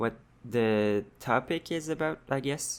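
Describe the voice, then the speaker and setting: Ordinary pitch variation in a strong French-Canadian accent. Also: man. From Quebec. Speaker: vlogger. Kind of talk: personal vlog monologue. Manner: halting, many fillers and restarts.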